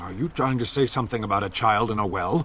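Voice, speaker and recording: A man puts on a character voice with a serious tone, pitched fairly low and delivered at a very fast pace. Clear background noise runs underneath. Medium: video game. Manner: clipped, formal, serious.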